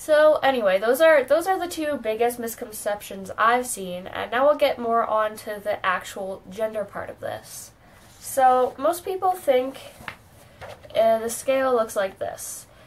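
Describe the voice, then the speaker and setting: A woman with a high voice talks at a fairly slow pace with lively intonation and big swings in loudness, over noticeable background noise. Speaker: video blogger. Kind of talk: educational vlog. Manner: casual, filler-heavy.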